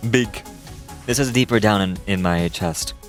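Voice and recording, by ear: Over clear background music, a man puts on a booming character voice, fairly low in pitch, at a moderate pace.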